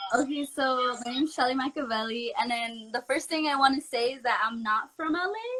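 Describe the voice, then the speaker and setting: In a raised, projected voice, a woman with an American accent speaks at a fairly quick pace and high pitch with ordinary pitch variation and hardly any pauses, over noticeable background noise. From North County San Diego, California. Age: young. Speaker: barber and model. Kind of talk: interview.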